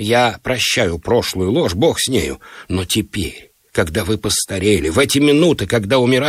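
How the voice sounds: The intonation is lively in a natural reading voice, heard with a quiet background.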